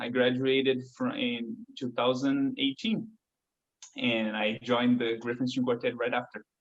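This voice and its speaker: A man with a Portuguese accent speaks at a medium pitch and a moderate pace. His intonation is flat and monotone. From Brazil, São Paulo. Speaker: violinist. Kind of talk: interview.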